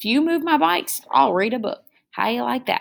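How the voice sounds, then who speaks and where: A woman's put-on character voice, gruff and growling, fairly high-pitched and fairly quick. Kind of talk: tall tale read aloud. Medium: read story. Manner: gruff, roaring, growling.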